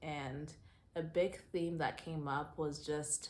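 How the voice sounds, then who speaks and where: In a room with audible echo, a woman speaks at a very deep, low pitch with monotone, flat intonation. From US Southwest (Phoenix, Arizona), born in Zimbabwe. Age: 30s. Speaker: lifestyle vlogger. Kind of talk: personal vlog monologue. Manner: casual, conversational with fillers.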